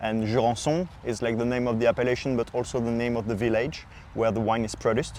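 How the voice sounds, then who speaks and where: A man with a French accent talks at a very fast pace. His pitch is medium, with fairly even intonation. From southwest France, Pau. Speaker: sommelier, wine podcast host. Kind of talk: casual podcast chat, wine presentation.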